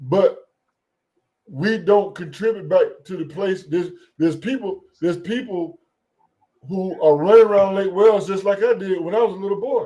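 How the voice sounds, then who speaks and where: An American man with a high pitch and ordinary pitch variation speaks with long, frequent pauses. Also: moderate pace. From US South. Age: 60s. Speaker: rancher. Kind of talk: call-in discussion. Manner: halting.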